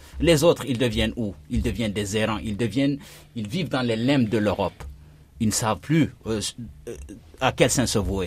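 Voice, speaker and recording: Long, frequent pauses break up a man's medium-pitched speech, which has vocal fry, lively intonation and a moderate pace. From Guinea. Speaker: journalist and documentary maker. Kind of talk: radio panel discussion.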